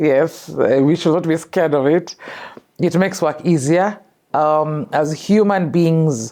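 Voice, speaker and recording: A woman with a Kenyan accent speaks in a dark, mellow tone at a very deep, low pitch with ordinary pitch variation, over a quiet background. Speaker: filmmaker and storyteller. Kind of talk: interview.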